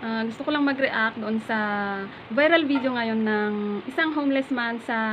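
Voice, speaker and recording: Over light background noise, a woman with an ordinary speaking voice talks at a moderate pace and fairly high pitch, with ordinary pitch variation. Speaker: vlogger. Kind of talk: casual talk to camera, reaction video. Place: home room. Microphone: phone near.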